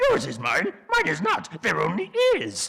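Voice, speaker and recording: In a put-on character voice, the speaker talks raspily at a fairly slow pace. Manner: cryptic, rambling.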